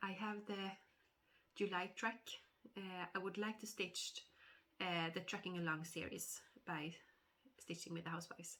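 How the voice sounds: A woman talks at a moderate pace with a nasal, fairly bright tone. Her pitch is fairly low and her intonation fairly even.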